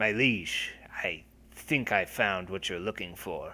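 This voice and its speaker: On a very clean recording with a silent background, a man puts on a character voice at a medium pitch, speaking at a fairly slow pace. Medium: actual play. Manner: formal, deferential.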